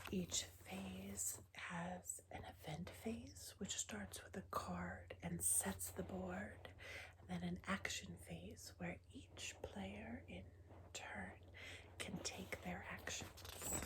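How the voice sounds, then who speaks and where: A soft-spoken woman whispers at a very slow pace. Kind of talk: ASMR board game show-and-tell. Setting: lo-fi ASMR recording. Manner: whispered, soft-spoken.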